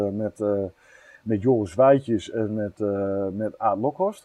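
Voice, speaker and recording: A man speaks at a very slow pace. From northern Netherlands, near Groningen. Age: 30s. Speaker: carp angler and fishery owner. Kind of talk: interview. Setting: outdoors on a veranda.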